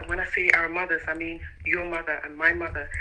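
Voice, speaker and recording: The speech moves at a fairly quick pace, with noticeable background noise behind it. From Nigeria, Abia State (Umuahia). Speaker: caller. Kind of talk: radio phone-in call. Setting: phone call. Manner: hesitant.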